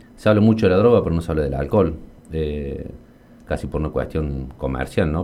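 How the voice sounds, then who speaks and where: A man speaks at a fairly quick pace with lively intonation, his pitch very deep and low. Noticeable background noise runs under his voice. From Argentina, Río Cuarto (Córdoba). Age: 40s. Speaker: accountant and local politician. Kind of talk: radio interview. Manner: hesitant, frequent fillers and repetitions.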